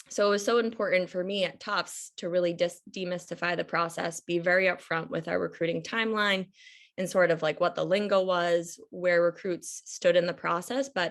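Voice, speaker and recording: A woman with an American accent, fairly low in pitch, at a moderate pace. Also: quiet background. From Massachusetts, US (Reading). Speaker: admissions coach, former college soccer coach. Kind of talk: presentation on video call. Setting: video call.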